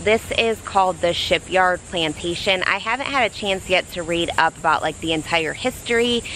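A moderate pace, light background noise and a dry sound with no echo. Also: woman. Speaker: vlogger. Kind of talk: casual vlog chat. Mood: cheerful, enthusiastic. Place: street. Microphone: phone near.

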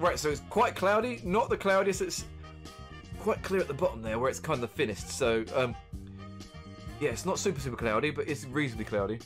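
Clear music plays in the background as the speaker goes at a fairly quick pace. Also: man. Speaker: beer reviewer streamer. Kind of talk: casual stream commentary. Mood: cheerful, joking. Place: home room.

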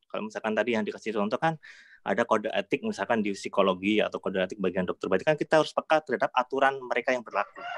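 A man at a very fast pace, medium in pitch, against a quiet background. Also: lively intonation. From Yogyakarta, Indonesia. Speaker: audience member asking a question. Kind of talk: audience question. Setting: video call. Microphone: video call.

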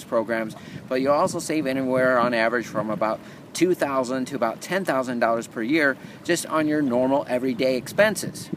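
Noticeable background noise sits behind a man talking at a fairly quick pace with ordinary pitch variation and a dry sound with no echo. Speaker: vlogger promoting a program. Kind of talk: casual vlog chat. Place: beach. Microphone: phone near.

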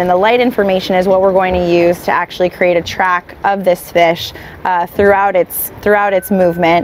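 A woman speaks at a moderate pace in a monotone, flat intonation, her loudness very even. Light background noise sits under a dry sound with no echo. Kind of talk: explanatory talk to camera. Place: boat. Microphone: lapel.

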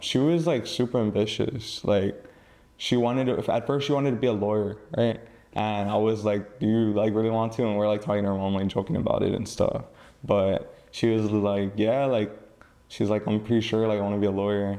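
A man with an unremarkable speaking voice talks at a fairly quick pace, fairly low in pitch, with fairly even intonation and very even loudness. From McAllen, Texas. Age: young. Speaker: podcast guest. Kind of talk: interview answer.

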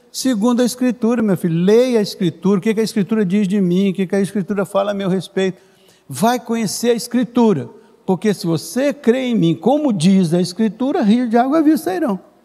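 A man with a high pitch talks at a fairly quick pace with lively intonation. The background is quiet. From Brazil. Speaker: pastor. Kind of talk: sermon. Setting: church service, streamed online. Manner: warm, explanatory teacher-like pacing with repetitions and self-corrections. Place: church. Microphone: handheld.

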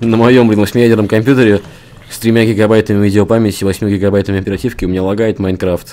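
A man talks at a very fast pace with a fairly low pitch. His intonation stays monotone and flat over noticeable background noise. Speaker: gaming channel host. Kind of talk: casual gameplay chat. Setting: game recording, online server.

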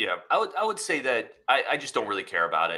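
A gravelly, bright and sharp male voice at medium pitch, with very wide pitch swings and a fast pace

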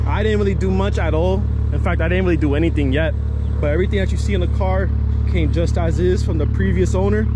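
A man rattles along at a very fast pace, the sound dry with no echo and noticeable background noise behind him. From New Jersey. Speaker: car YouTuber. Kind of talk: casual vlog walkaround. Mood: relaxed, a bit self-conscious. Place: street. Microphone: phone near.

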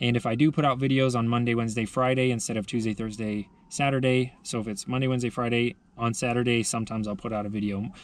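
This man talks at a very fast pace. The words come quickly. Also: dry sound with no echo. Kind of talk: casual vlog chat. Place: car. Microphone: phone near.

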